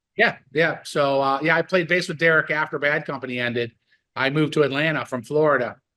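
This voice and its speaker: A man's fairly high voice, bright and sharp in tone, at a very fast pace. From US, western New York (Buffalo area). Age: 60s. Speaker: rock bass player and musician. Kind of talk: casual interview chat. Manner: animated, excited.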